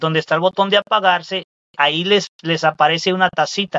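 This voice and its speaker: A man talks in a high voice. His pace is moderate. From Mexico, Veracruz state. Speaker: rideshare driver. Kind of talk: casual interview chat.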